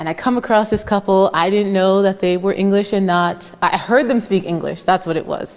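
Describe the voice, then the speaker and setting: A woman with an unremarkable speaking voice, medium pitch and ordinary pitch variation. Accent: American. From United States. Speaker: moderator, student affairs administrator. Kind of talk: panel conversation. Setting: art gallery with audience.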